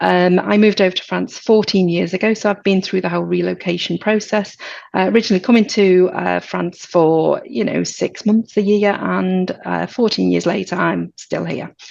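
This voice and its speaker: Against a quiet background, a woman in a British accent talks at a moderate pace with hardly any pauses. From Britain. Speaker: insurance agency director. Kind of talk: webinar presentation. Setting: webinar.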